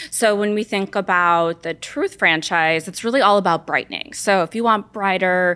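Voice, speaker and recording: With a Los Angeles accent, a woman at medium pitch speaks at a moderate pace with a bright, sharp tone and hardly any pauses, in a very clean recording with a silent background. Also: ordinary pitch variation. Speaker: beauty brand marketing lead. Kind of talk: casual interview.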